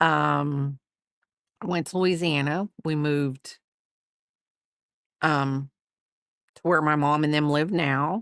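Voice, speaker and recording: A woman with a Southern accent speaks very slowly, with long, frequent pauses and fairly even intonation. Her voice is very deep and low, and the sound is dry and close with no echo. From US South. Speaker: crochet streamer. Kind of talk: casual livestream chat. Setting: livestream. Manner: rambling, halting with fillers.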